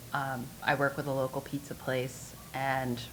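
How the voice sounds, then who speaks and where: Audible room echo hangs around the voice. A woman speaks with a very deep, low pitch. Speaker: pinball tournament organizer and operator. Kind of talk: conference panel talk. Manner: loud.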